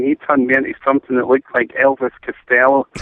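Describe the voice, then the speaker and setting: Talking at a very fast pace, a man speaks with a Scottish accent. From Scotland. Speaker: caller. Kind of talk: telling a funny anecdote. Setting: phone call.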